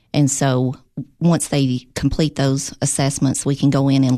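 In a Tennessee accent, a woman speaks with a very deep, low pitch. Her intonation is monotone and flat. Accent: Southern US (Tennessee). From Tennessee, Clay County. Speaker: operations director. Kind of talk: interview. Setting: studio.

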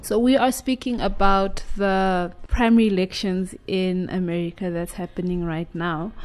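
A woman with a plain, everyday voice speaks at a moderate pace and a medium pitch, with ordinary pitch variation and hardly any pauses. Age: 50s. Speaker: radio host. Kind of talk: radio talk show discussion. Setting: studio.

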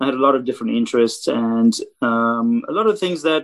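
A man with a Romanian accent, his pitch swinging very widely. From South Africa. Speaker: photographer. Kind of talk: casual chat.

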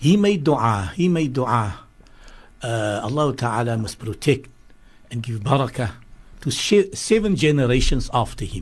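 Somewhat breathy man at medium pitch, very wide pitch swings, long and frequent pauses. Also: moderate pace. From Cape Town, South Africa. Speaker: religious scholar. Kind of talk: radio interview.

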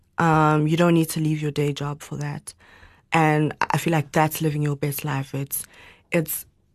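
This woman's voice sits at a very deep, low pitch. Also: quiet background. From South Africa, Johannesburg. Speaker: winemaker and entrepreneur. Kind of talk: interview.

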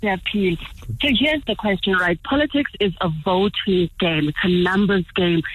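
Her medium-pitched, somewhat breathy voice moves at a fairly slow pace with hardly any pauses, lively intonation and very even loudness. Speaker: caller. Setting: phone call.

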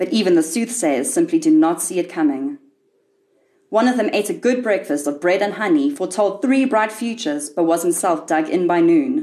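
A woman speaks at a moderate pace in a medium, dark and mellow voice. Her pitch swings very widely while her loudness stays very even. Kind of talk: literary audiobook reading of a short story. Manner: measured, wry and darkly ironic storyteller's delivery.

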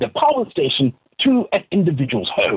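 Speaking at a moderate pace, a man with a somewhat breathy voice makes very wide pitch swings. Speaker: comedian. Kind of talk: comedic radio interview. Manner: mock-documentary narration.

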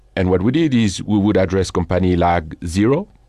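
The background is quiet. A man speaks at a fairly low pitch in a dark, mellow tone. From northern France. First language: French. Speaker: company founder and CEO. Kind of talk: interview. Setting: studio.

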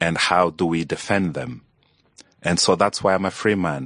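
The man's voice comes through dry and close, with no echo. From Angola. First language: Portuguese (probable; not English). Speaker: journalist and activist. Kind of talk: interview conversation. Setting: studio.

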